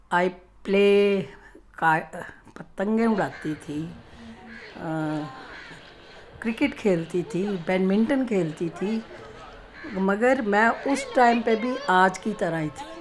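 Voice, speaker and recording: Noticeable background noise runs under a woman speaking with lively intonation and long, frequent pauses. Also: medium pitch for a woman. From Punjab, Amritsar. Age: 80s+. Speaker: elderly interviewee telling her life story. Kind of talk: interview, personal reminiscence.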